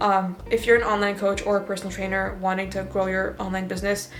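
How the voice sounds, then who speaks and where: A woman's medium-pitched voice at a very fast pace, with audible room echo and noticeable background noise. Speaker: fitness coach and vlogger. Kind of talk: casual vlog talk. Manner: casual, filler-heavy.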